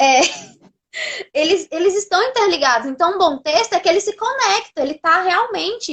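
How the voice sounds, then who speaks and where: A woman's voice with very wide pitch swings. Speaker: live host. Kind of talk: live online class talk. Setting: live video stream. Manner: soft-spoken. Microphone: sound very quiet.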